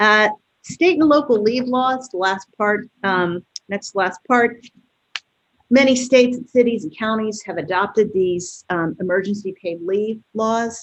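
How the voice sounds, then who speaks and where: A woman with a fairly high pitch and ordinary pitch variation. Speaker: employment lawyer. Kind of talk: webinar presentation. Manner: fast.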